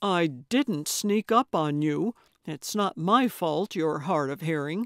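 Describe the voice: Using a put-on character voice, a woman speaks at a low pitch and slow pace with lively intonation, in a very clean recording with a silent background and a dry, close sound with no echo.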